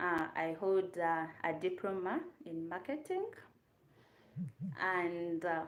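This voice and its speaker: A woman speaks in a fairly low pitch with a Ugandan accent. Audible room echo surrounds her voice. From Uganda, Kampala. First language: Luganda. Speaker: YouTube content creator. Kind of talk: casual livestream chat. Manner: chatty, hesitant with fillers.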